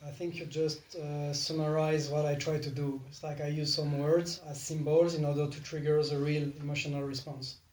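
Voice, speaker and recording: With a non-native accent, the speaker keeps a moderate pace and hardly any pauses against noticeable background noise. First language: not English. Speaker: spiritual teacher leading a meditation game. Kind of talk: casual group conversation about spirituality.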